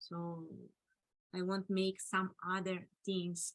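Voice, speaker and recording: A woman speaks at a very slow pace with a non-native accent. The sound is dry and close, with no echo. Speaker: artist and technologist speaker. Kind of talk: Q&A discussion. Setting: video call. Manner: halting.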